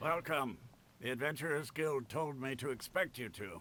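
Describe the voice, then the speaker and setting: Using a raspy, put-on character voice, a man of medium pitch speaks at a moderate pace with lively intonation. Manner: welcoming.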